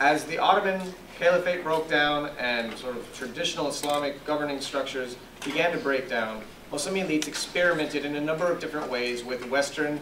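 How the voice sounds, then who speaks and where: A man's fairly high voice at a fairly quick pace, with ordinary pitch variation amid noticeable background noise. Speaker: professor and moderator. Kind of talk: formal introduction. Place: classroom. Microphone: handheld.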